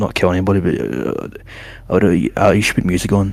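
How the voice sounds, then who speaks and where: Vocal fry runs through this voice at a moderate pace. Its pitch varies in an ordinary way. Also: man. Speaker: stream co-guest. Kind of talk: casual chat. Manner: loud.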